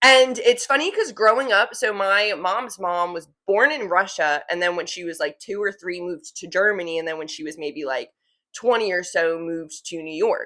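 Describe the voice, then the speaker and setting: A woman at medium pitch talks at a moderate pace with hardly any pauses, her bright, sharp, animated tone full of lively intonation and big swings in loudness. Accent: New Jersey. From New Jersey. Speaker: podcast host. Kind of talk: casual chat.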